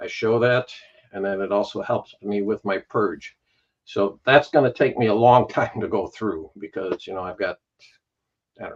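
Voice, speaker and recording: An unremarkable speaking voice from a man at a fairly low pitch, moderate pace and ordinary pitch variation, with big swings in loudness and a dry, close sound with no echo. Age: 60s. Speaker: record collector channel creator. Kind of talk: casual chat.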